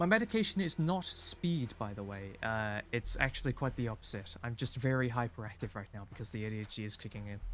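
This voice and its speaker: A man's medium-pitched, very fast delivery with hardly any pauses and lively intonation. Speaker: gaming streamer. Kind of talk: live gameplay commentary. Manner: animated.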